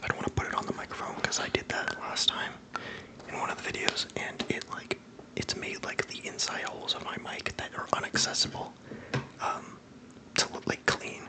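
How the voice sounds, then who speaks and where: Fairly quick whispering over noticeable background noise. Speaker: ASMR creator. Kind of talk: casual ASMR talk to camera. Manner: soft-spoken.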